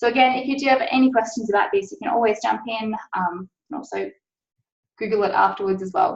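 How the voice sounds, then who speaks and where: Speaking at a very fast pace with ordinary pitch variation, the voice is somewhat breathy. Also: woman, fairly high pitch for a woman. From Australia. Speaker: science policy officer. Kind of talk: webinar presentation. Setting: online webinar. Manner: frequent filler 'um'.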